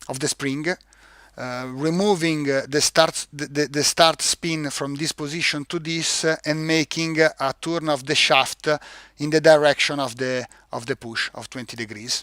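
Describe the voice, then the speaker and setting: A man with an Italian accent talks at a moderate pace in a fairly high, bright and sharp voice with fairly even intonation, the sound dry and close with no echo. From Italy. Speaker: product manager presenting a product. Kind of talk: live-stream webinar tutorial. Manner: halting, many fillers and repeats.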